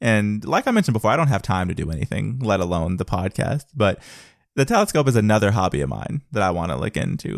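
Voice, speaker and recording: With vocal fry and a fairly low pitch, a man talks very fast in very wide pitch swings, recorded very cleanly against a silent background with a dry, close sound and no echo. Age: 20s. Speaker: podcast host. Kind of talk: casual solo monologue.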